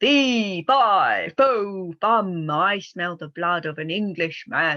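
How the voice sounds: A put-on character voice, female-sounding and bellowing at a middle pitch. It moves at a very slow pace with hardly any pauses.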